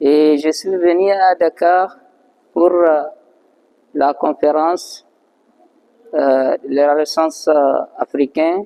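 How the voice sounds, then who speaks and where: A man with a non-native accent talks at a very slow pace, leaving long, frequent pauses, his fairly high voice dark and mellow in tone. His intonation stays fairly even, and the sound is dry and close with no echo. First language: not French (speaking French). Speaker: master artisan, blacksmith. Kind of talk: interview testimony. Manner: halting.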